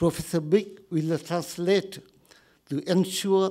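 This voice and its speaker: A man with a Vietnamese accent speaks in a high pitch with a dark, mellow tone. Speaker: retired army officer, panelist. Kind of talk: formal conference presentation. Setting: conference room with audience. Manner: formal.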